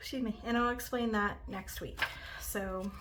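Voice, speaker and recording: The voice is soft-spoken, at a moderate pace. Audible room echo can be heard. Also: woman. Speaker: budgeting content creator. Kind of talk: casual vlog tutorial.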